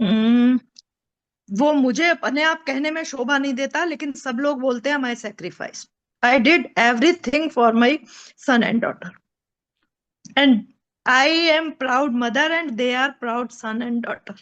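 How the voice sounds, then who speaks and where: A high-pitched woman with ordinary pitch variation. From Uttar Pradesh, India. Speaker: mother, daughter of army officer. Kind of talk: interview answer.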